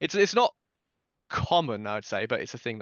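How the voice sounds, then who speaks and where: In a British accent, a man speaks at a very fast pace. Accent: RP, posh-sounding British. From southern England, Dorset. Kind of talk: casual chat.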